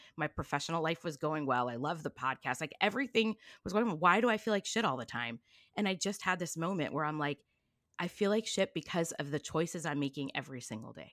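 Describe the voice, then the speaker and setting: With a Californian accent and lively intonation, the speech runs at a very fast pace in a very clean recording with a silent background and a dry, close sound with no echo. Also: woman, fairly low pitch for a woman. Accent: Californian American English. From Southern California, Long Beach. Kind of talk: casual chat.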